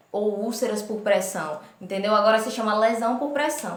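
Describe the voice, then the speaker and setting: Audible room echo surrounds a woman speaking at a moderate pace with a fairly high pitch. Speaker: nursing instructor. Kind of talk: lecture.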